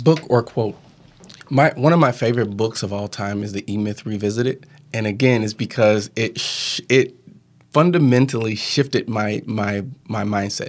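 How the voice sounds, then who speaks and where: A man with an American accent and medium pitch talks at a moderate pace, with ordinary pitch variation. It is an ordinary speaking voice, on a very clean recording with a silent background. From Southern Illinois. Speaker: podcaster and podcast coach. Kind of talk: casual interview. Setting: studio.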